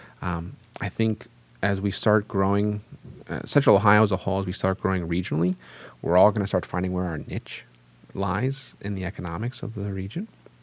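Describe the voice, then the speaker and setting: In an unremarkable speaking voice, a man talks at a fairly quick pace with a fairly low pitch. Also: fairly even intonation. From Pittsburgh, western Pennsylvania. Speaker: economic development executive. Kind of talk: interview.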